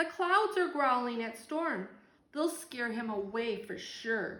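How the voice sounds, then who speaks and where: Using a put-on character voice, a woman speaks at high pitch and a fairly slow pace with audible echo. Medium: read story.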